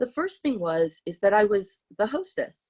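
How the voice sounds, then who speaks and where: A woman with a Californian accent at a fairly slow pace. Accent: Californian American English. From San Francisco, US. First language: Hungarian. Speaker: artist. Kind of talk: interview talk with slides. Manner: hesitant, many fillers.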